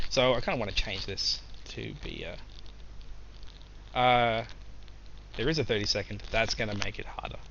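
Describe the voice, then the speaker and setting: Long, frequent pauses break up what this man says. Otherwise his pace is moderate. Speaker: game developer streamer. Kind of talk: live coding stream. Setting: live stream. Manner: hesitant, many fillers.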